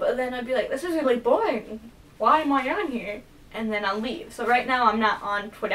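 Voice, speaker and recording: A woman speaks with a high pitch. Her pace is fairly quick. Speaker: vlogger. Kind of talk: casual vlog monologue. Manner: halting. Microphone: poor camera quality.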